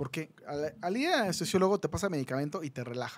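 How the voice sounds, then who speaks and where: A man with an animated tone. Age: 30s. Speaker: plastic surgeon; guest. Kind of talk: casual chat. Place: studio. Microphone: studio mic.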